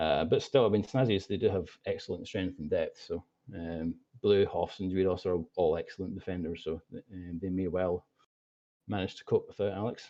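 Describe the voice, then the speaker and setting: With a Scottish accent, a man speaks at a very deep, low pitch. His intonation stays fairly even. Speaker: esports commentator. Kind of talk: live commentary. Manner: fast.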